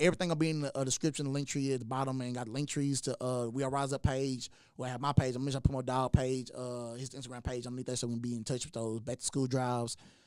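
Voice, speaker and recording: Speaking very fast with hardly any pauses, a man with an American accent keeps a medium pitch and a monotone, flat intonation on a very clean recording with a silent background. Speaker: podcast host. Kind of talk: casual chat. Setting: studio.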